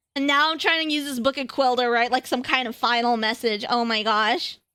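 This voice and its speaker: A woman's voice is raised and projected. Her tone is bright and sharp. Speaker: streamer. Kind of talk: casual livestream chat while gaming.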